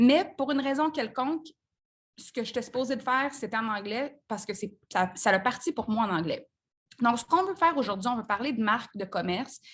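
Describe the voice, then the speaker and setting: A woman speaks at a fairly quick pace in a high pitch with lively intonation. The background is quiet. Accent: Quebec. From Quebec, Saint-Hyacinthe. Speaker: business coach. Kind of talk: live group coaching call. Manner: casual, conversational with fillers.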